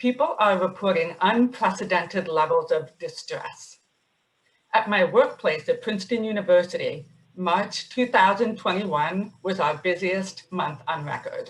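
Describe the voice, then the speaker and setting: A woman speaks at a fairly slow pace, somewhat breathy, with ordinary pitch variation. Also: medium pitch for a woman. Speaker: psychiatrist and webinar moderator. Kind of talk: webinar moderation. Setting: webinar.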